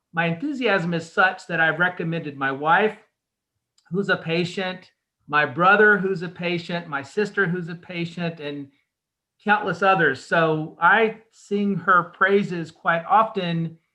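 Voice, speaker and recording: A man with an American accent, a high pitch and a bright, sharp tone, at a fairly slow pace with fairly even intonation. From North Carolina. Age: 50s. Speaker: patient. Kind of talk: testimony.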